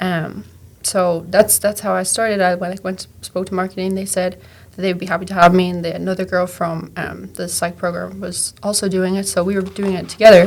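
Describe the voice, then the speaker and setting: A woman speaks with an Irish accent at a fairly quick pace. Her intonation is monotone and flat. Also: medium pitch for a woman. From Ireland. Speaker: graduate assistant and content creator. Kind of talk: casual interview. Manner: casual, filler-heavy.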